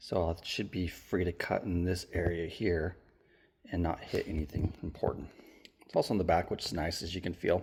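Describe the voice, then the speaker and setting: A man speaks in a very deep, low pitch with a somewhat breathy voice. The recording is very clean, with a silent background. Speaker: car enthusiast DIY video maker. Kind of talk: tutorial. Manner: casual, hesitant with fillers.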